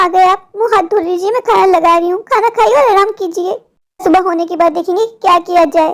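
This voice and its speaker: A woman's cartoonish character voice, extremely high in pitch, fairly quick, with ordinary pitch variation. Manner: caring, fretful.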